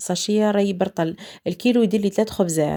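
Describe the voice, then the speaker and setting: On a very clean recording with a silent background, a woman speaks at medium pitch and a fairly quick pace, with fairly even intonation and a dark, mellow tone. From eastern Algeria. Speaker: cooking channel host. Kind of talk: cooking tutorial. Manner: casual, conversational.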